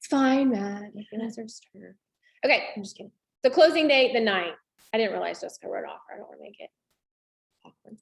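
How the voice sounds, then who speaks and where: A woman with a fairly high pitch speaks at a fairly quick pace, somewhat breathy, with ordinary pitch variation, big swings in loudness, and long, frequent pauses. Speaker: real estate trainer. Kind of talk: tutorial. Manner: fast.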